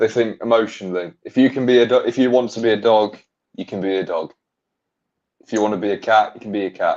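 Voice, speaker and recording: With an English accent, a man speaks at a very fast pace. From England. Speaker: podcast guest. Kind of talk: casual chat.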